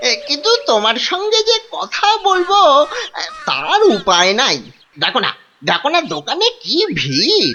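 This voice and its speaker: A cartoonish character voice runs high in pitch at a moderate pace. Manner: loud, blustering, stammering.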